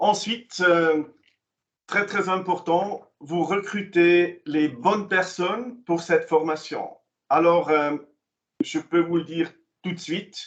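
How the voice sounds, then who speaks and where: A man with a Swiss German accent speaks at a very slow pace, leaving long, frequent pauses. His pitch is high, with ordinary variation. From German-speaking Switzerland. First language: Swiss German (speaking French). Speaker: commission president, vocational training presenter. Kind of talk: online information session presentation. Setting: online meeting. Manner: halting, many hesitations.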